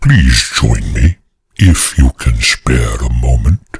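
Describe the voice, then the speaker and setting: A man's put-on character voice, growling at a very deep, low pitch and a very slow pace, with a dry, close sound and no echo. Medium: read story. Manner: gentle, soft-spoken, courteous.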